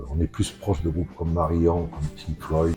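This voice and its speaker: With music playing behind him, a man talks at a fairly quick pace in a very deep, low pitch. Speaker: rock band leader and composer. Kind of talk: interview. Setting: recording studio. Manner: halting.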